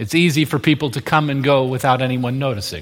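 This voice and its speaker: In a plain, everyday voice, a man talks at a moderate pace and a fairly high pitch. His intonation stays fairly even. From moved often: US states, Indonesia, Australia. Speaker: pastor. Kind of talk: sermon.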